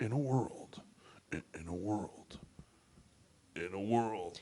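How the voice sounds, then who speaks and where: Using a put-on character voice, a man speaks at a fairly slow pace with fairly low pitch. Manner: dramatic, announcer-like.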